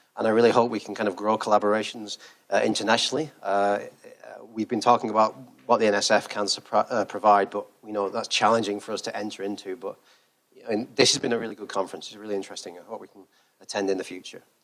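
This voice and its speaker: With a British accent, a man talks very fast in a fairly low pitch, his intonation flat and monotone while his loudness swings widely. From Britain. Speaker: research engineer. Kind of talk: conference keynote talk. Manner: hesitant, many fillers.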